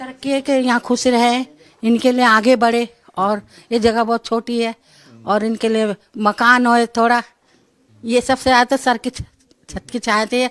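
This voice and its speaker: Recorded with a dry, close sound and no echo, a woman speaks in a flat monotone. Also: fairly high pitch for a woman. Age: old. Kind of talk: interview answer.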